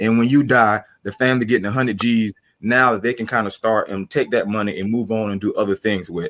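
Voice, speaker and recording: Keeping his intonation fairly even, a man talks fairly quickly at a medium pitch. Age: 40s. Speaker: panelist. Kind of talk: panel discussion. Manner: casual.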